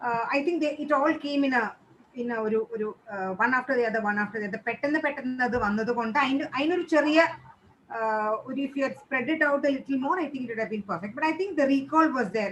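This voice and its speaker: With a Keralan accent, a woman talks very fast at a high pitch. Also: ordinary pitch variation. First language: Malayalam. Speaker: teacher trainer. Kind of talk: feedback session.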